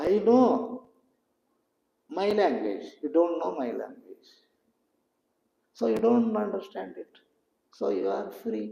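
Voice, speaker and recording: A man with a Telugu accent talks at a very slow pace, leaving long, frequent pauses. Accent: Indian (Telugu) English. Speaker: spiritual teacher. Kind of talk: satsang talk.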